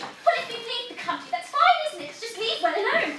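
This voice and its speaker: A woman's put-on, theatrical character voice, extremely high and squeaky, with very wide pitch swings, big swings in loudness and a fairly quick pace over light background noise. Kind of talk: comic period farce acting. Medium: stage play. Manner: huffy, theatrical indignation.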